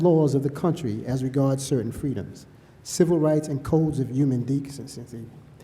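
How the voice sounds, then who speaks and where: A man with a New York accent speaks at a moderate pace, his tone dark and mellow and somewhat breathy. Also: fairly high pitch for a man, ordinary pitch variation. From New York City. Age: 60s. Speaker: public commenter at hearing. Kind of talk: public testimony. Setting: public hearing.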